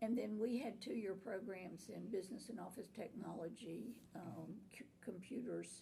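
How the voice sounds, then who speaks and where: A woman with an American accent uses an ordinary speaking voice at medium pitch and a moderate pace. Her pitch varies in an ordinary way, and she hardly pauses. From Florida, Tampa Bay area. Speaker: nursing instructor and college administrator. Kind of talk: oral history interview answer.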